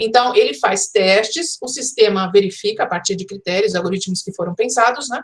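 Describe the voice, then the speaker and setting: A woman speaks with a somewhat breathy voice. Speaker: professor, educational design speaker. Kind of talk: online conference lecture. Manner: fast.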